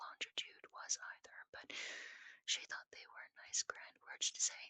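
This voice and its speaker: Whispering at a fairly slow pace. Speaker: ASMR storyteller. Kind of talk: sleep story. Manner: whispered.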